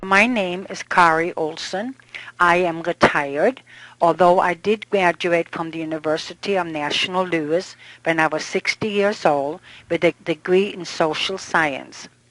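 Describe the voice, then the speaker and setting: In a normal speaking voice, a woman talks at a fairly low pitch and fairly slow pace with fairly even intonation, in a dry, close sound with no echo. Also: quiet background. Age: 60s. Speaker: kidney transplant recipient. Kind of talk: testimony.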